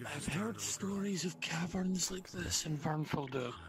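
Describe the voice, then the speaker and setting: Someone performs a put-on character voice at a middle pitch and a moderate pace over loud background noise. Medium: actual play. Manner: wondering.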